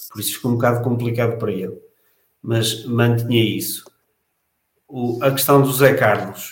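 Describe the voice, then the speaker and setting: In a room with audible echo, a man of medium pitch speaks at a moderate pace with a somewhat breathy voice and fairly even intonation, pausing long and often. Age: 40s. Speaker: football fan panelist. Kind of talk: casual panel discussion.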